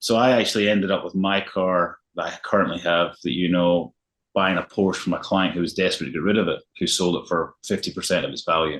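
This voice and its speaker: A man with a Scottish accent speaks at a fairly quick pace in a very deep, low voice, his intonation fairly even against a quiet background. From Scotland, Glasgow. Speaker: luxury realtor. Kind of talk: interview.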